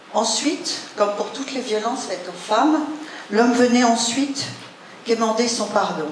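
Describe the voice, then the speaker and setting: Speaking at a fairly slow pace, a woman with a high pitch and ordinary pitch variation is heard with audible room echo and noticeable background noise. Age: 60s. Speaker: speaker sharing life story. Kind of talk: personal testimony talk.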